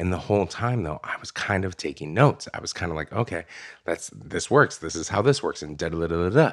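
A man with a very deep, low voice and an American accent talks at a very fast pace with lively intonation. His loudness swings widely on a very clean recording with a silent background. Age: 30s. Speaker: memoirist and author. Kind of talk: interview conversation. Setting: studio.

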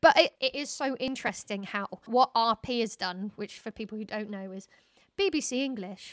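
Here is a woman with an unremarkable speaking voice, fairly high in pitch and moving at a moderate pace. Her pitch varies in an ordinary way, and the sound is dry and close with no echo. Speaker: podcast host. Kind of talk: casual interview chat. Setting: video call.

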